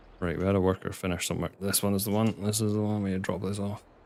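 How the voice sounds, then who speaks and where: Fairly quick speech in a Scottish accent. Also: man. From Scotland. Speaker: video game streamer. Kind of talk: live gameplay stream chat. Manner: casual, chatty.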